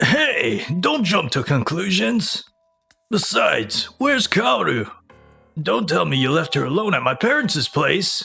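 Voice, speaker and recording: In a put-on character voice, a man speaks raspy and high-pitched at a fairly slow pace as faint music plays in the background. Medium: fan dub. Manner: flustered, stammering.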